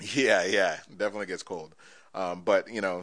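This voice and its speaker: With an American accent, a man speaks in a plain, everyday voice at a fairly low pitch and a moderate pace. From Florida, Orlando. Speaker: automotive content creator. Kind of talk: casual chat.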